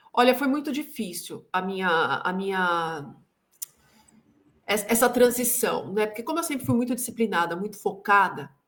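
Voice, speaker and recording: A woman talks with lively intonation at a fairly high pitch. She leaves long, frequent pauses. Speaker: sales consultant and executive coach. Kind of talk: interview. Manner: slow, measured pace.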